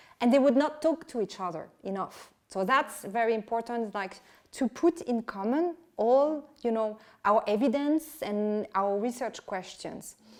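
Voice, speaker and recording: A woman talks with a French accent at a fairly high pitch. Her pace is fairly slow and her intonation lively. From France. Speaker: historian and author. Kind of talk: interview. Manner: halting.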